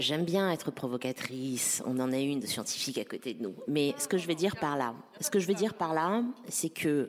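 At a moderate pace, a woman talks in a very deep, low voice with lively intonation. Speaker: digital policy council president and activist. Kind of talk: panel discussion. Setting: stage with audience. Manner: halting.

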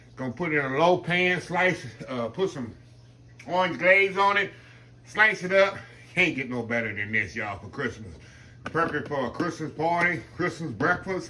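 Using lively intonation and long, frequent pauses, a man speaks at a moderate pace over light background noise. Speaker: home cooking channel host. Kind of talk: cooking tutorial chat. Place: kitchen. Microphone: camera far.

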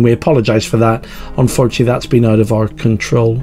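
Faint music sits behind a man whose pitch varies in an ordinary way. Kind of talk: church service introduction. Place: home room. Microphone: webcam.

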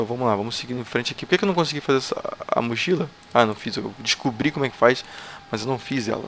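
A man with a Brazilian accent at a very fast pace, ordinary pitch variation, and light background noise. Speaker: gaming youtuber. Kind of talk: gameplay commentary. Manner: animated. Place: home room.

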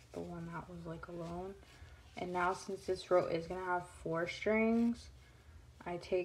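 A woman is speaking. Her pace is fairly slow. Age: 20s. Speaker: crafting YouTuber. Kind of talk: tutorial; casual tutorial chat. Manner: casual, with many fillers. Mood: relaxed, chatty. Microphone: phone near.

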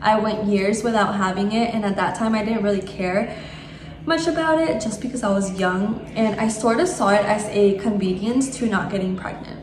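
Amid noticeable background noise and audible room echo, a woman with a fairly high pitch talks at a moderate pace with ordinary pitch variation. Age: 20s. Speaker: vlogger. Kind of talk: casual vlog talk to camera. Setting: vlogging on the go, partly in a car and parking lot.

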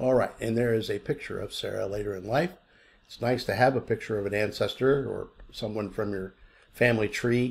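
A man talks at a fairly quick clip in a somewhat breathy voice, his pitch moving in an ordinary way while his loudness swings widely. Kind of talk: tutorial. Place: home room. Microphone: webcam.

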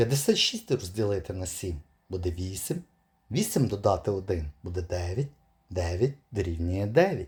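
On a very clean recording with a silent background, a man uses lively intonation in a somewhat breathy, fairly low voice. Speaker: puzzle video presenter. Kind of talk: tutorial.

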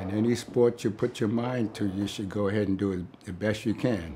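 A fairly low-pitched man with an American accent, amid noticeable background noise. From New York, Brooklyn; New York. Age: 80s+. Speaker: war veteran. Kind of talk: interview monologue. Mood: warm, smiling storytelling. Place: home room.

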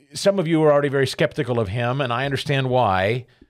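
Over a quiet background, a man talks at a fairly quick pace with lively intonation. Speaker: radio talk show host. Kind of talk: talk radio show opening monologue. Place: studio. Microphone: studio mic.

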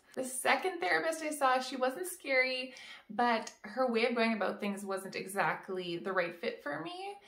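High pitch from a woman, with audible room echo. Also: moderate pace. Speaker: vlogger. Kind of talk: casual vlog chat. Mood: warm, friendly. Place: home room.

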